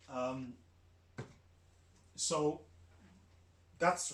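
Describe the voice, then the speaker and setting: Loud and fairly high-pitched, a man talks with fairly even intonation and long, frequent pauses. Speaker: podcast host and YouTuber. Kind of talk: casual monologue. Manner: loud, projecting; hesitant, many fillers.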